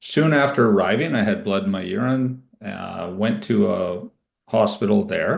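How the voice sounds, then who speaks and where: A man with a Canadian accent talks at a fairly slow pace in an ordinary speaking voice. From Ontario, Canada. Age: 60s. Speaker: cancer survivor, IT professional. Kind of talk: interview testimony. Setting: podcast. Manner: casual, with fillers.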